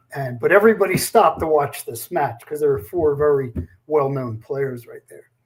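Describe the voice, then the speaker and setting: Somewhat breathy, a man speaks at a moderate pace with lively intonation. His loudness swings widely. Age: 70s. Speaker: bowling tournament founder. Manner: halting.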